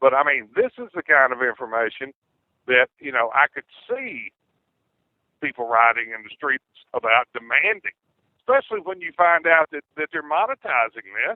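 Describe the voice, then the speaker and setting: Delivered in a Southern US accent, the speech has long, frequent pauses and big swings in loudness. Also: man, fairly high pitch for a man, moderate pace. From US South, Clarksdale, Mississippi. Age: 50s. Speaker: caller. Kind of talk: political talk radio discussion. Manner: halting, many fillers and repeats.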